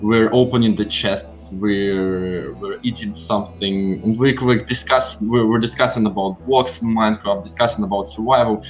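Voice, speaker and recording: A man with a Slavic accent speaks at fairly low pitch with hardly any pauses. Music plays in the background, and the room echo is audible. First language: a Slavic language. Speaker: philosophy explainer. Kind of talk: casual lecture during gameplay. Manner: halting, many fillers.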